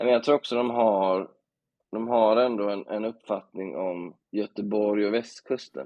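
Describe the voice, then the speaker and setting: Here is an unremarkable speaking voice from a man at a fairly low pitch. He talks at a fairly slow pace with ordinary pitch variation. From Bohuslän, Sweden. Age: 30s. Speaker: journalist. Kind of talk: casual chat.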